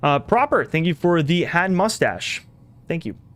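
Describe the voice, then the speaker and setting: Lively intonation marks a man's high-pitched voice at a fairly slow pace. Noticeable background noise is present. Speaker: gaming streamer. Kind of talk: live stream commentary. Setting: live stream.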